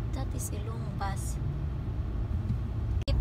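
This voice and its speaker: Very slowly, a woman talks in a dry sound with no echo, against loud background noise. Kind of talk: casual vlog chat. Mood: alarmed near the accident. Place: car. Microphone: phone near.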